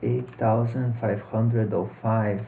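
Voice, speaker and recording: A man speaks in a Brazilian accent. His pitch sits fairly low. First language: Portuguese. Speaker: personal finance youtuber. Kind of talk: tutorial. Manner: hesitant, with fillers and repeats.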